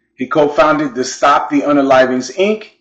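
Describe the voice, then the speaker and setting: This man has an unremarkable speaking voice. He talks with a fairly high pitch and fairly even intonation. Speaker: channel host. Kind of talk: documentary profile narration.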